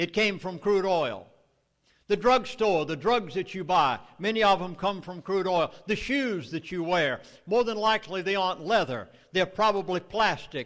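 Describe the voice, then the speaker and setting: A man with a Southern US accent and a high pitch, at a moderate pace with ordinary pitch variation, against a quiet background. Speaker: Baptist minister and author speaking on oil. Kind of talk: public lecture to a live audience. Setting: evening meeting with audience.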